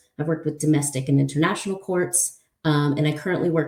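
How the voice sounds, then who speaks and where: A woman with a very deep, low pitch and a dark, mellow tone speaks amid audible room echo. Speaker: open source investigator. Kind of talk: conference talk. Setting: conference presentation. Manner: fast; hesitant with many fillers.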